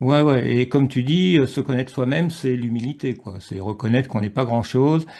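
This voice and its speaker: The speaker moves at a fairly quick pace with hardly any pauses, ordinary pitch variation and a dark, mellow tone against a quiet background. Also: man, medium pitch for a man. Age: 60s. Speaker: author and researcher. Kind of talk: casual interview chat. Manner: hesitant, many fillers.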